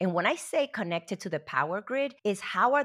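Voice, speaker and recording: A woman's voice with very wide pitch swings, on a very clean recording with a silent background. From Puerto Rico, moved to New Jersey in high school. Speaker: HR executive and consultant. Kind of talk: interview.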